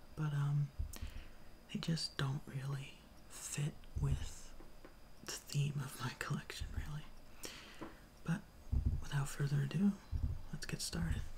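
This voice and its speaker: A man whispers at a very slow pace. He leaves long, frequent pauses. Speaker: ASMR creator, watch collector. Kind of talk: soft-spoken ASMR show-and-tell. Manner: soft-spoken.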